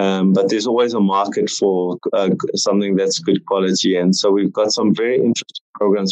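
The sound is dry and close with no echo as a man with a South African accent talks at a fairly quick pace and a fairly low pitch. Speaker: entrepreneur. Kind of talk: casual interview chat.

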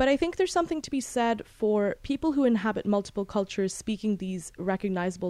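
A woman with a British accent talks at a very fast pace in a dark, mellow tone with ordinary pitch variation. The background is quiet. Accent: international British English. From Bahrain, British international schools. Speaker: book podcast host, graduate student. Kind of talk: book review monologue.

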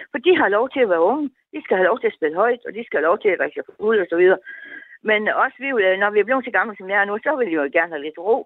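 At a very fast pace, a woman speaks with lively intonation at a fairly high pitch. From North Jutland, Denmark. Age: 70s. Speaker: radio listener caller. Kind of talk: casual phone-in chat. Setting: phone call.

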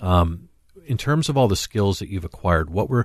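The speaker has an American accent and a somewhat breathy voice. The pace is very fast. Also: man, quiet background. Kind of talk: radio talk show chat.

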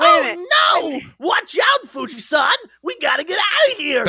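Shouting in a put-on character voice, the speaker uses an extremely high pitch at a fairly slow pace. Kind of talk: exaggerated dub acting. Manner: urgent, panicked.

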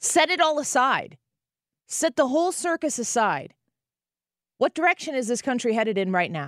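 Pausing long and often, a woman speaks at a moderate pace in a high voice with very wide pitch swings, the sound dry and close with no echo. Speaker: radio host. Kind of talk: angry political rant. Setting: studio. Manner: fiery, impassioned.

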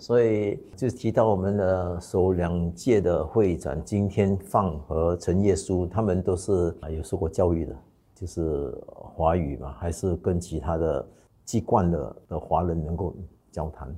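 Somewhat breathy and dark, mellow in tone, the voice shows ordinary pitch variation over a quiet background. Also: man, very deep, low pitch for a man. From Singapore. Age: 60s. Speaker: clan association president. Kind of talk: interview. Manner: hesitant with fillers.

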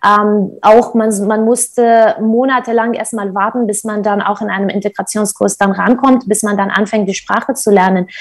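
The delivery moves at a moderate pace with hardly any pauses. Intonation stays monotone and flat. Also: woman, fairly high pitch for a woman. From Syria, Kurdish north (Qamishli). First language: Kurdish (speaking German). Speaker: nonprofit founder. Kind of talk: interview. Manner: hesitant, many filler sounds.

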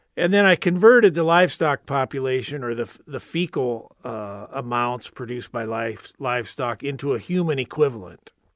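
A man with a Midwestern US accent, medium in pitch, with lively intonation and big swings in loudness, in a very clean recording with a silent background and a dry, close sound free of echo. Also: moderate pace. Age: 60s. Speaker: retired research engineer and author. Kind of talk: radio interview. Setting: studio.

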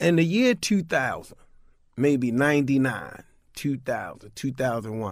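A man talks at a fairly slow pace with lively intonation and a fairly high pitch. The recording is very clean, with a silent background. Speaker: violence intervention worker. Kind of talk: radio interview. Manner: casual, laughs often.

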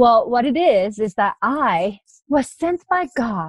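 A woman speaks with a Japanese accent and very wide pitch swings. The sound is dry and close, with no echo. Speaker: life coach. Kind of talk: interview.

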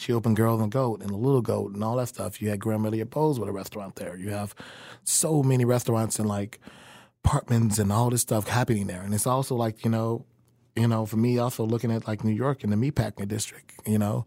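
A man's medium-pitched, dark, mellow voice with an American accent, very fast and fairly even in intonation. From Chicago. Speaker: chef and restaurant owner. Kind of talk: casual interview.

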